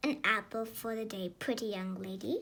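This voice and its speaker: A woman does a put-on character voice at a fairly high pitch. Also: moderate pace. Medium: read story. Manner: wheedling.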